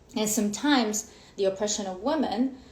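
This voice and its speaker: A woman speaks in a medium pitch. Audible room echo follows her voice. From Ukraine. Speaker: women's coach. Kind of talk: live stream talk. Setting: Instagram live.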